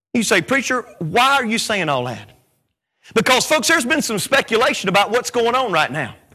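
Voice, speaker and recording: A man with an extremely high pitch speaks in a raised, projected voice, bright and sharp in tone, at a fairly quick pace with lively intonation. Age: 40s. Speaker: preacher. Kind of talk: sermon. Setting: church. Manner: animated.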